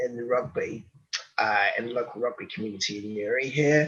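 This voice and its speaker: Someone with a London accent speaks over noticeable background noise. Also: man. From London, England. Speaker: rugby coach and social entrepreneur. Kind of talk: interview. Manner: halting.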